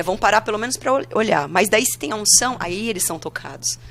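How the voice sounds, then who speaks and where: A woman talks with lively intonation. Her voice has vocal fry. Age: 30s. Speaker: pastor. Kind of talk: casual interview.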